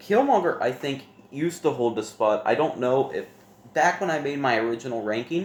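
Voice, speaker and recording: A man at a fairly quick pace with lively intonation and a fairly high pitch for a man, over noticeable background noise. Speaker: board game youtuber. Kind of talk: casual ranking monologue. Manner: hesitant, with fillers and self-corrections.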